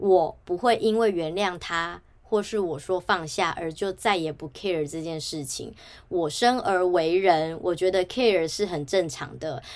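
Speaking at a fairly slow pace, a woman with a Taiwanese accent uses a fairly low pitch and ordinary pitch variation in a very clean recording with a silent background. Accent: Taiwanese Mandarin. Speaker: podcast host. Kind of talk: solo podcast monologue.

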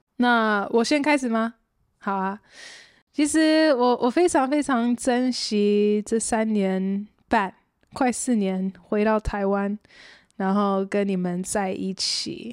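Speaking at a very slow pace, a woman uses a fairly high pitch and ordinary pitch variation on a very clean recording with a silent background. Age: 30s. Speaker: adult daughter. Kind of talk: casual chat.

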